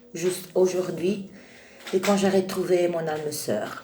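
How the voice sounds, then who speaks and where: Fairly slow speech in an Italian accent over noticeable background noise. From Italy. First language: Italian (speaking French). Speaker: spiritual video creator. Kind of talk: spiritual monologue. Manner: halting, many hesitations.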